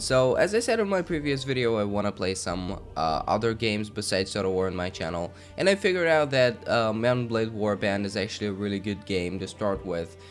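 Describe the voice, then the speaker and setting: A fairly quick delivery with hardly any pauses and ordinary pitch variation, music in the background. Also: man, fairly low pitch for a man. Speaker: gaming let's play host. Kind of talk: casual gameplay commentary.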